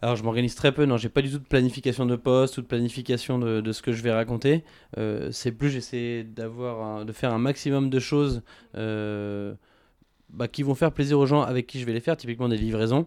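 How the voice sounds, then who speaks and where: On a very clean recording with a silent background, a man at medium pitch talks at a fairly quick pace with fairly even intonation. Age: 20s. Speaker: entrepreneur. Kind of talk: interview. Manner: hesitant, many fillers.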